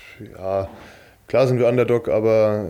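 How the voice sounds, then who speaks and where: A man is talking here. His voice has a medium pitch. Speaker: professional handball player. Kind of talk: interview. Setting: training camp.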